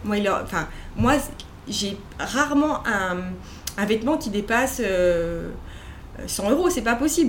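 A woman speaks at a moderate pace with lively intonation, and the room echo is audible. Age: 40s. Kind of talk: interview conversation. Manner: halting, many repetitions and fillers.

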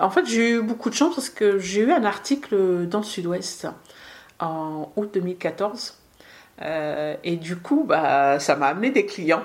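A woman speaks at a medium pitch. Her pace is very slow, with long, frequent pauses. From western France. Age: 50s. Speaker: tea room owner and cook. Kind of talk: interview. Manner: hesitant, many fillers.

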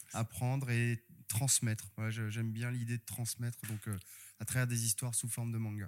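The intonation stays monotone and flat while the speech moves at a moderate pace. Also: man, medium pitch for a man, dry, close sound with no echo. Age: 30s. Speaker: manga author. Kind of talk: casual interview. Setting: bookstore.

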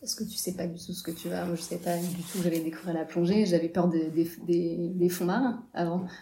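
Fairly low in pitch, a woman talks at a fairly quick pace with hardly any pauses. Her intonation is fairly even, and there is noticeable background noise. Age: 30s. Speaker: freediving instructor and breathwork coach. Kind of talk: interview.

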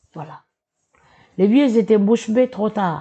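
Vocal fry runs through a woman's speech at a fairly slow pace. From New Caledonia, Kanak tribe in the north. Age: 60s. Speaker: association president and political aide. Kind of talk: interview. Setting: studio.

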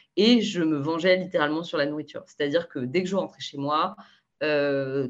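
With lively intonation, a woman speaks at a moderate pace in an ordinary speaking voice with a fairly low pitch. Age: 20s. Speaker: consultant sharing eating disorder recovery. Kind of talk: interview testimony.

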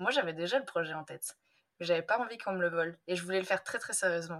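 A woman talks with ordinary pitch variation. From France, Drôme (Valence). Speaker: language teacher. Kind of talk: casual chat. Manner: animated.

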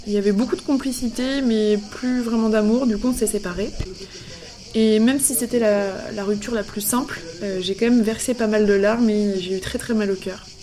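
Over noticeable background noise, a woman with a fairly high voice speaks at a moderate pace with fairly even intonation. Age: 30s. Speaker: podcast host. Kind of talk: scripted narration.

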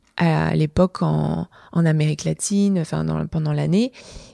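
A woman's dark, mellow tone comes through with a dry, close sound and no echo. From southern France, Montpellier. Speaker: entrepreneur, start-up co-founder. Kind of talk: interview.

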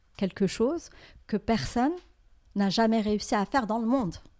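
This woman's voice has a dark, mellow tone and ordinary pitch variation, recorded very cleanly against a silent background. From Morocco. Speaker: tech startup founder. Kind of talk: interview. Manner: hesitant, many fillers and repetitions.

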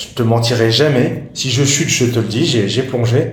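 A man's somewhat breathy voice with fairly even intonation and audible room echo. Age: 40s. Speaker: patient sharing his story, hiking club founder. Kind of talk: interview testimony. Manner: halting.

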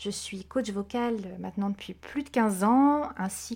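The voice is somewhat breathy, with ordinary pitch variation. It moves at a fairly slow pace. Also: woman. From Corsica. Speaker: vocal coach. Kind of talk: interview.

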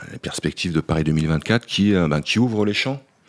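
Very deep and low, this man's voice moves through very wide pitch swings at a fairly slow pace. The sound is dry and close, with no echo. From France, Beaujolais region. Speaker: former volleyball international, mental coach. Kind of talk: radio interview. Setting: hotel lounge. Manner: halting, many repetitions.

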